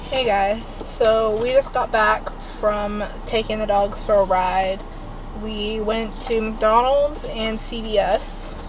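A woman's voice comes through with clear background noise around it. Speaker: vlogger. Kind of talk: casual vlog chat. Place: car. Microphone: phone near.

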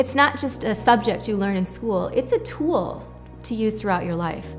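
Faint music sits behind a woman as she talks. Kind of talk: interview answer. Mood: warm, heartfelt. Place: home room.

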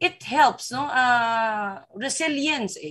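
The woman's voice is somewhat breathy. Her intonation is lively. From Philippines. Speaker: film director. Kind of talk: press conference Q&A. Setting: video call. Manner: animated. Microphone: video call.

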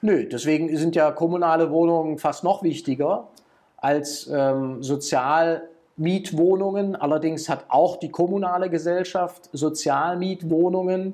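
Over a quiet background, a man with a high, dark and mellow voice speaks fairly slowly with fairly even intonation. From Schwäbisch Hall, Baden-Württemberg, Germany. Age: 50s. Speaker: politician. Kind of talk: interview answer.

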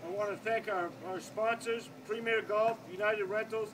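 A man talks at a fairly quick pace with ordinary pitch variation over loud background noise. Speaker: golf club host. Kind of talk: awards announcement. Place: street. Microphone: camera far.

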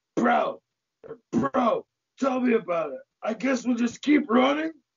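Putting on a character voice, a man talks at a fairly slow pace in an extremely high pitch. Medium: stage play.

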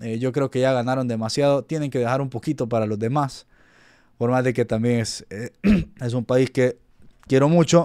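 Over a quiet background, a man's dark, mellow voice moves at a moderate pace with fairly even intonation and long, frequent pauses. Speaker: football YouTuber. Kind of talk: casual commentary to camera. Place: home room.

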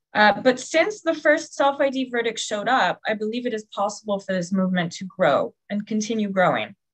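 Against a quiet background, a woman speaks with a somewhat breathy quality. Her intonation is lively. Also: fairly high pitch for a woman, fairly quick pace, hardly any pauses. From Hawaii, USA. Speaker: PhD student and university lecturer; webinar speaker. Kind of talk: prepared talk. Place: home room. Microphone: webcam.

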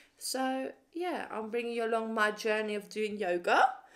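A woman's voice amid noticeable background noise. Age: 20s. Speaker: estate agent. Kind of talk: casual vlog talk to camera. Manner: chatty, rambling. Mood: calm, candid, reflective. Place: home room. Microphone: phone near.

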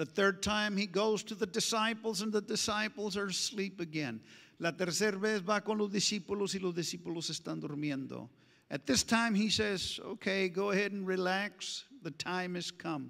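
Against a quiet background, a man speaks in a bright, sharp tone. His pace is moderate and his pitch variation ordinary. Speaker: pastor. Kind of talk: sermon. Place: church. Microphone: handheld.

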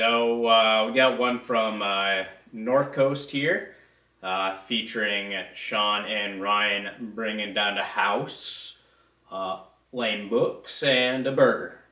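This man's voice has a bright, sharp tone and carries a strong room echo.

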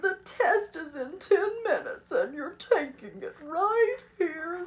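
Using a put-on character voice, a woman speaks slowly at an extremely high pitch with big pitch swings.

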